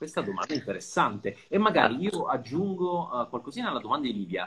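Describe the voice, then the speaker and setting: Pitched on the higher side for a man, his voice carries vocal fry. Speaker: podcast host. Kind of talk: interview.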